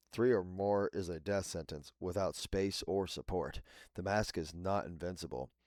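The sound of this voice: The intonation stays fairly level throughout an unforced reading voice.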